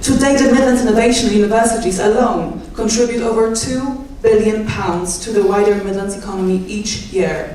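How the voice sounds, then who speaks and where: In a Polish accent, the speaker keeps a fairly even intonation at a moderate pace, with audible room echo and noticeable background noise. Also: woman. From Poland. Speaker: doctoral student and archivist. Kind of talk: public speech.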